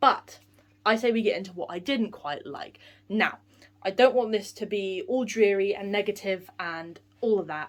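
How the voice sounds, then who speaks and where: A woman talks in a British accent with ordinary pitch variation. Her loudness swings widely. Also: medium pitch for a woman. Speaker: theatre vlogger. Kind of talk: film review vlog. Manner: fast.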